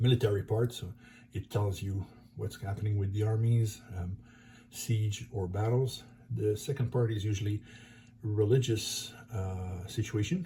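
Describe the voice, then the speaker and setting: With a slight French accent, a man speaks at a fairly low pitch and fairly even intonation. His pace is fairly slow with long, frequent pauses, over noticeable background noise. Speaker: board game YouTuber. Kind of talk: tutorial. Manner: halting.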